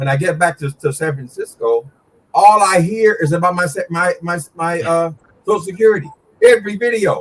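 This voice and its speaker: A high-pitched man speaking at a fairly quick pace, with lively intonation. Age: 60s. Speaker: YouTube commentator. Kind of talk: casual chat. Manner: animated.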